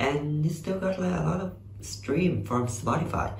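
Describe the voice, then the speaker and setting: With a Vietnamese accent, a man speaks over light background noise, and room echo is audible. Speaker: YouTuber reacting to music videos. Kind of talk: casual reaction commentary. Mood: enthusiastic, friendly. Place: home room. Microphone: webcam.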